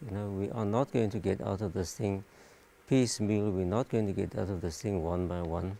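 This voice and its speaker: Someone soft-spoken talks at a moderate pace on a very clean recording with a silent background. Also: man. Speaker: doctor. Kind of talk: panel discussion. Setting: live stream panel.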